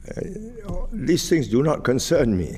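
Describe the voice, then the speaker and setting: A man with a Singaporean accent. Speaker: retired politician. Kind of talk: interview answer. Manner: soft-spoken, slow.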